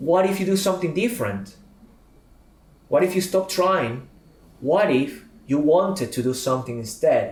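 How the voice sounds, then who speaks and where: With a Spanish accent, a man talks at a moderate pace in a high voice with lively intonation and long, frequent pauses, amid audible room echo. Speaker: public speaking and communication trainer. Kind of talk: podcast interview.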